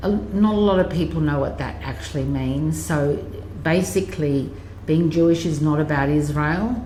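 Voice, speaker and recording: With an Australian accent, a woman speaks at a fairly slow pace amid audible room echo and noticeable background noise. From Australia, Sydney. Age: 60s. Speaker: interviewee sharing life story. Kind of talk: life story interview. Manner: halting, many fillers.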